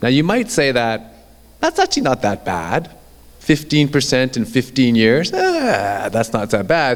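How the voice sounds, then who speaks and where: A man talks in an unremarkable speaking voice at medium pitch. His intonation is lively and his loudness very even, at a fairly slow pace. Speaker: orthopedic surgeon. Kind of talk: lecture.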